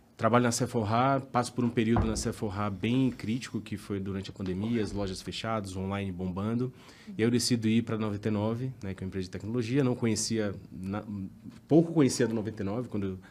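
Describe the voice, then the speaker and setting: A man with a Bahian accent talks at a very fast pace. His pitch is fairly low, with ordinary variation. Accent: Bahian accent, noticeable. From Bahia, Brazil (Salvador). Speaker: tax director. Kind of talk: podcast interview. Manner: casual, conversational.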